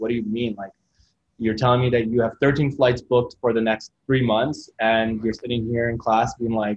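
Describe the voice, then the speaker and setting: A man with a Canadian accent speaks at a moderate pace and medium pitch, in a flat monotone. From Kitchener-Waterloo, Ontario, Canada (Middle Eastern refugee family). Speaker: photographer and YouTuber. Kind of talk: casual interview.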